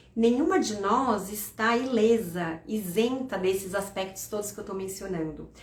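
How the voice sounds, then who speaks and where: Amid audible room echo and noticeable background noise, a woman talks at a fairly slow pace with a fairly high pitch and ordinary pitch variation. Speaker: financial educator. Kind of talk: live stream talk. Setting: live stream.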